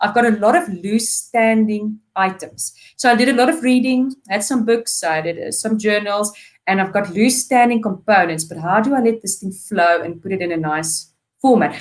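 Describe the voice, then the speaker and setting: A woman speaks with a non-native accent at a fairly high pitch. Her pace is moderate and her intonation lively. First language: not English. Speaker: PhD student. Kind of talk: webinar interview. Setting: live webinar.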